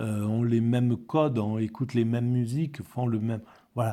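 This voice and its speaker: A man at a fairly slow pace, medium in pitch with a dark, mellow tone, on a very clean recording with a silent background. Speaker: philosophy video blogger. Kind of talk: spoken commentary on a book. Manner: halting, many repetitions.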